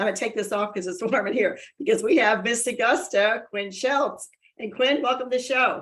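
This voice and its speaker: This woman speaks with a high pitch and an animated tone. Her pace is fairly quick, and her pitch varies in an ordinary way. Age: 60s. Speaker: talk show host. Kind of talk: interview. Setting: video call.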